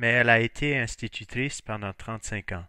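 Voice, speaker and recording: In a very clean recording with a silent background, the sound is dry and close with no echo. A man speaks at a fairly slow pace and medium pitch with fairly even intonation. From northern Maine, US (Fort Kent, St. John Valley). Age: 40s. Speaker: high school French teacher. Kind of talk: self-introduction.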